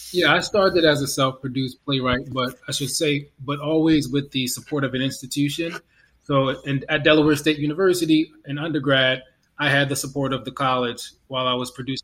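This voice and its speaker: This is a plain, everyday voice moving at a fairly quick pace with fairly even intonation. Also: man, fairly high pitch for a man. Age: 30s. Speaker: playwright. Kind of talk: casual chat.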